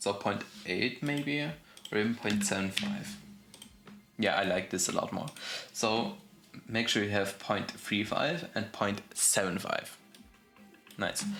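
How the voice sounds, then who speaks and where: Over noticeable background noise, a man at a medium pitch talks very slowly at a very even volume, with long, frequent pauses. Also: ordinary pitch variation. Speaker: game development tutorial youtuber. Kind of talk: tutorial. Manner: casual with fillers and self-corrections.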